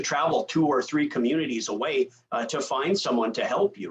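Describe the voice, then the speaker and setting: A man speaks at a moderate pace in a Minnesota accent. His pitch varies in an ordinary way. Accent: Upper Midwest (Minnesota). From rural northwestern Minnesota, Red River Valley. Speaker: rural health association speaker, former EMS worker. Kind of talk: conference presentation. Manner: frequent fillers and repetitions.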